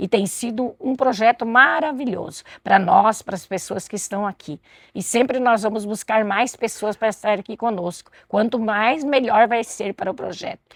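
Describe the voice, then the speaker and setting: At a moderate pace, a woman with a plain, everyday voice and a fairly high pitch is heard in a dry, close sound with no echo. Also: ordinary pitch variation. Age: 60s. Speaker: community medicinal garden volunteer. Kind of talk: interview.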